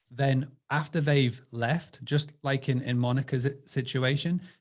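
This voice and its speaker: A man's somewhat breathy, medium-pitched voice with an English accent and fairly even intonation. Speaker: direct booking marketing supplier. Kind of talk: webinar panel discussion.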